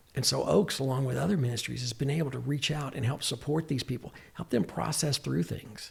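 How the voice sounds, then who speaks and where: Hardly pausing, a man with an American accent talks at a fairly quick pace with vocal fry and lively intonation. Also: medium pitch for a man. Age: 60s. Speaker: psychiatric mental health nurse practitioner. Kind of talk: podcast interview.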